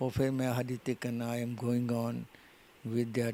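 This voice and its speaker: A man speaks at a medium pitch, his tone dark and mellow. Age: 80s+. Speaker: retired bodybuilder. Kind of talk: interview answer.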